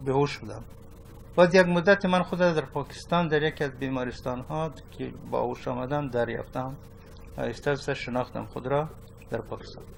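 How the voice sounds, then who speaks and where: Fairly quick, fairly even-toned speech from a man. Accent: Afghan. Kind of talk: testimony.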